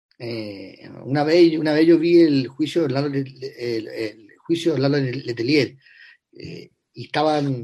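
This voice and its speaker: This is a man with a fairly high pitch. His pitch variation is ordinary. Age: 50s. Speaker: writer and screenwriter. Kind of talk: interview. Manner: halting, many repetitions.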